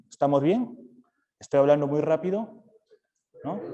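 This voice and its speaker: A man speaks at a moderate pace with a fairly high pitch and a dark, mellow tone. His pitch swings very widely. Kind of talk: talk to parents.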